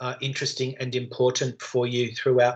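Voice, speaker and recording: A man talks with an Australian accent. The background is quiet. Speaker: university lecturer. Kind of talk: online lecture. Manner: fast; loud.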